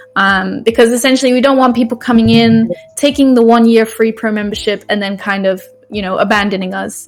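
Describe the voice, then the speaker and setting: Fairly even, fairly high-pitched speech from a woman at a moderate pace, with music in the background. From UK. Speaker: brand ambassador program lead. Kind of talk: live stream presentation. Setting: live stream with chat. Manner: casual, many fillers.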